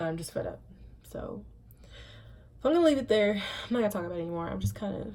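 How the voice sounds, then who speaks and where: Audible room echo follows a woman talking at a very fast pace. Her loudness swings widely, and she leaves long, frequent pauses. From Indiana and Savannah, Georgia (US). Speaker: vlogger. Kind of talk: personal vlog monologue. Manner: mumbles sometimes; emphatic, repetitive.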